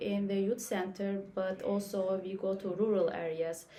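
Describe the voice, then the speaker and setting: A woman of medium pitch speaks at a fairly slow pace with noticeable background noise. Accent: Turkish. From Turkey. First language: Turkish. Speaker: youth worker. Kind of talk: casual discussion.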